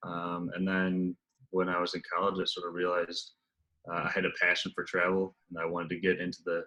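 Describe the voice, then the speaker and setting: A man with an American accent, very deep and low in pitch, at a fairly quick pace. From USA. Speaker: travel sales executive. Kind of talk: casual interview. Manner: hesitant, many fillers.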